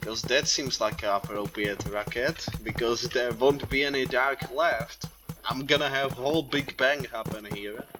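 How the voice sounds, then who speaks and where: With a non-native accent, the speaker talks at a fairly slow pace over music in the background. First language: not English. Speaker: gaming youtuber. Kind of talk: gameplay commentary. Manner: animated.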